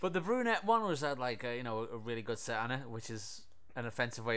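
A man talking at a very fast pace with ordinary pitch variation, with audible room echo. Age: 30s. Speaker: podcast host reviewing films. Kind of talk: casual chat.

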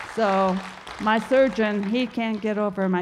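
A woman at a fairly slow pace with fairly even intonation, crowd noise behind her. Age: old. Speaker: grandmother sharing recovery testimony. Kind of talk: testimony.

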